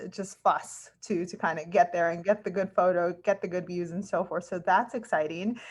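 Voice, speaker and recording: A woman with a normal speaking voice at medium pitch, fairly even intonation, a moderate pace and hardly any pauses, against a quiet background. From California. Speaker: podcast host. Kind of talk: casual interview.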